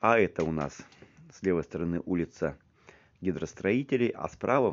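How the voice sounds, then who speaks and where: Vocal fry from a man with a very deep, low pitch and lively intonation. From Siberia, Krasnoyarsk region; Siberia, Russia. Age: 50s. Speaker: video blogger. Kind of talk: walking tour vlog narration. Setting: outdoors, walking in town. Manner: halting, repetitive. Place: street. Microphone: phone near.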